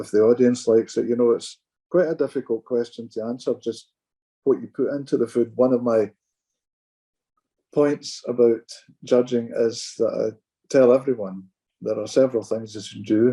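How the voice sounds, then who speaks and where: A man with a Glaswegian accent speaks at a moderate pace, his pitch medium and his tone dark and mellow. His intonation stays fairly even, broken by long, frequent pauses. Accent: Glaswegian Scottish. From Scotland, Glasgow. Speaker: pipe band judge. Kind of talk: casual chat.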